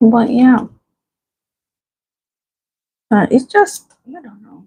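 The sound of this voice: A soft-spoken, breathy woman's voice at fairly high pitch, very slow in pace, with a dark, mellow tone, a slightly husky edge and lively intonation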